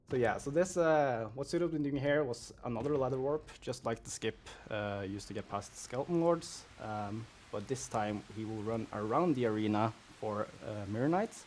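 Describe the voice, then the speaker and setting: Speaking at a moderate pace, a man has a non-native accent. His voice is medium in pitch with ordinary variation. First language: not English. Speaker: speedrun commentator. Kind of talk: live commentary. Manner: halting, many fillers.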